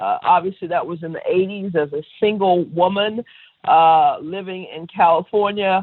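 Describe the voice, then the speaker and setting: A plain, everyday voice with an American accent speaks at a moderate pace. Its intonation is fairly even, with big swings in loudness. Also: woman, medium pitch for a woman. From Texas, Dallas. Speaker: winery owner. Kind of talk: interview.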